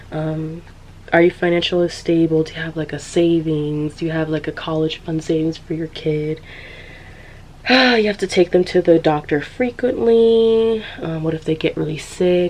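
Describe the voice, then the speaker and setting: There is noticeable background noise as a woman speaks with a Californian accent. Her pitch is fairly low, her pitch variation ordinary, and her pace moderate. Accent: Californian American English. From San Diego, California. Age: 20s. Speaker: podcaster, social commentary creator. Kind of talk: casual commentary talk to camera.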